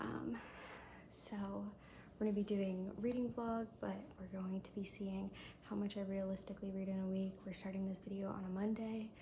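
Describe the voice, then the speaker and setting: The speech has long, frequent pauses and fairly even intonation. Noticeable background noise runs behind it. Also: woman, medium pitch for a woman, moderate pace. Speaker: booktuber. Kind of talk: reading vlog. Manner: hesitant, filler-heavy.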